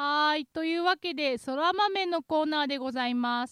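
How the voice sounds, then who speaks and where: A woman at a fairly slow pace with lively intonation, in a dry, close sound with no echo. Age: 20s. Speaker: podcast host. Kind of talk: casual chat. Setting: studio.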